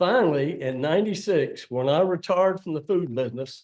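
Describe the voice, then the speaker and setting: A man speaks with a Virginia accent at a moderate pace. His pitch varies in an ordinary way. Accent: Virginia Southern. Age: 80s+. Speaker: public commenter, retired restaurant owner. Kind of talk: public comment at county meeting. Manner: plainspoken, emphatic.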